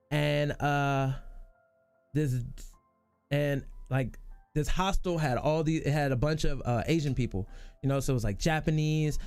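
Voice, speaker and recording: A man with a fairly high voice talks at a moderate pace while music plays behind him. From United States. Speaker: streamer. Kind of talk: casual chat; storytelling. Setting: live stream.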